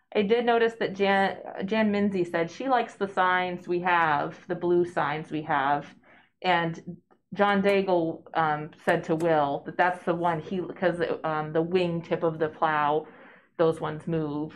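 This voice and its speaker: A woman's fairly low-pitched voice, an ordinary speaking voice, with fairly even intonation at a fairly slow pace. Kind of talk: meeting discussion. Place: meeting room. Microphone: camera far.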